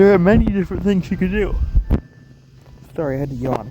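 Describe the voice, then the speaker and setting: Noticeable noise sits behind the voice. The speaker is male. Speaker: gaming youtuber. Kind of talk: gameplay tutorial. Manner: raised volume to be picked up; hesitant with many ums. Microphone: phone mic struggles to pick up voice.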